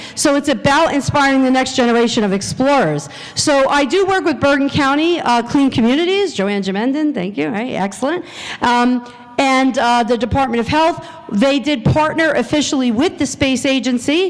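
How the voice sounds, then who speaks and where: Lively intonation in an American accent, at a moderate pace and very even loudness, with audible room echo and noticeable background noise. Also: woman, high pitch for a woman. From New Jersey. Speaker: science educator. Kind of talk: conference presentation. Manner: animated.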